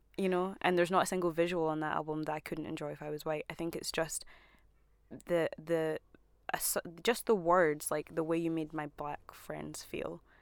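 In a Scottish accent, a woman speaks at a moderate pace with monotone, flat intonation. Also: fairly low pitch for a woman. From Scotland, emigrated from Zimbabwe aged about four. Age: 20s. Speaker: artist and photographer. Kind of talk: casual chat.

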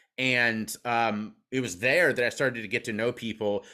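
Recorded very cleanly against a silent background, a man at medium pitch speaks with a bright, sharp tone. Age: 30s. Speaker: recovery speaker and podcast host. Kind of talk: podcast interview. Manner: halting with frequent repetitions.

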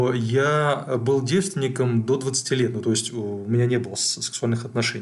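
At a moderate pace, a man speaks at medium pitch in a somewhat breathy voice with fairly even intonation. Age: 40s. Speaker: psychologist podcast co-host. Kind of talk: casual chat.

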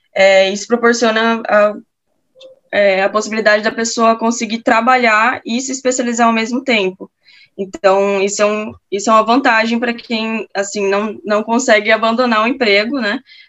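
A woman at a fairly high pitch with fairly even intonation. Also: moderate pace. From Campo Grande, Mato Grosso do Sul, Brazil. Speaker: perfusion postgraduate student. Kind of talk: casual interview. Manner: halting.

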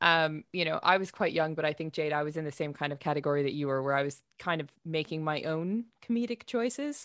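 In a very clean recording with a silent background, a woman with an unremarkable speaking voice talks at a moderate pace, her fairly low pitch moving in lively intonation. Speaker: defence counsel co-guest.

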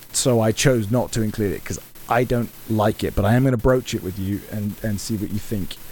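Speech moves at a fairly quick pace with fairly even intonation. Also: man, fairly low pitch for a man. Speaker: game master and podcast host. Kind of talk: tabletop roleplaying game session, casual banter with narration. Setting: recorded remotely online over a virtual tabletop.

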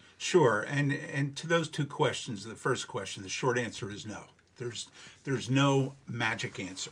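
A man talks in a normal speaking voice at a medium pitch with ordinary pitch variation. His pace is moderate, and his loudness swings widely. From New Jersey, Monmouth County. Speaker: legal trainer and consultant. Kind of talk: interview.

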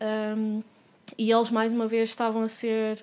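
Here a woman with a Porto accent speaks at a very slow pace, her pitch fairly high. The recording is very clean, with a silent background. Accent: Porto accent, noticeable. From Porto, northern Portugal (first 10 years in France). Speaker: animal rights activist. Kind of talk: casual interview conversation.

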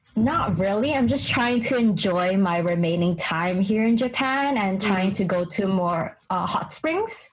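With an American accent, the speaker talks at a fairly slow pace with hardly any pauses, lively intonation and very even loudness over noticeable background noise. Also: woman, medium pitch for a woman. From US, New York City. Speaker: English teaching assistant. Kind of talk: casual chat. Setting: video call between Japan and America.

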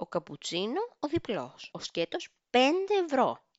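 A woman is speaking. Her pitch moves in very wide swings. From Greece. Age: 30s. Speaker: podcast host. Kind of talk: casual monologue.

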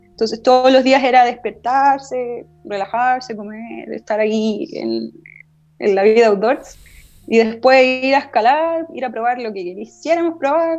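A woman with a high pitch talks at a fairly slow pace, her pitch varying in an ordinary way. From northern Chile, Arica. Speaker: climbing instructor. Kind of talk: casual chat.

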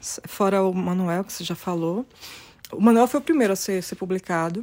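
A woman's dark, mellow, fairly low-pitched voice at a moderate pace. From Brazil. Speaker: poet and publisher. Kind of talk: interview.

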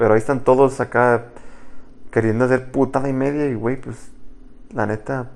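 A man's medium-pitched voice at a moderate pace. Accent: Mexican. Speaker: podcast co-host. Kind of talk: casual chat.

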